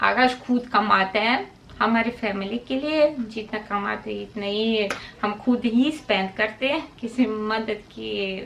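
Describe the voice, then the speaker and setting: A woman speaks with a Russian accent at a fairly high pitch, with ordinary pitch variation. There is noticeable background noise. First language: Russian (speaking Hindi). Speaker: vlogger. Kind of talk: casual vlog talk to camera. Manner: halting, many fillers.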